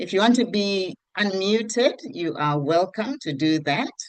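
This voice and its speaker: Her plain, everyday voice sits at a medium pitch for a woman, with lively intonation. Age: 60s. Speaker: network marketing presenter. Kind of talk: online group meeting.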